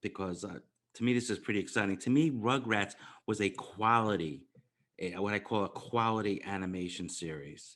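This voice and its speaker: Against a quiet background, a man speaks in an ordinary speaking voice. His pitch is fairly low with ordinary variation, and his pace is moderate. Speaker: podcast host. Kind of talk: podcast host intro and interview questions.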